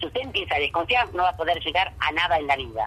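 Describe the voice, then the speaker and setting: There's a woman's voice. Behind it, background noise is clearly noticeable. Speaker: farm founder. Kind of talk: phone interview. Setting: phone call. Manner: emotive.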